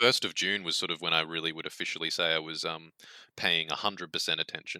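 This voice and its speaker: In an Australian accent, a man talks at a very fast pace with a bright, sharp tone. His pitch is very deep and low, and his intonation stays fairly even. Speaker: video game executive producer. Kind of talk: casual interview chat.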